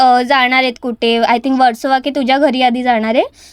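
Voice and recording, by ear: The speaker is a woman. Her intonation stays fairly even.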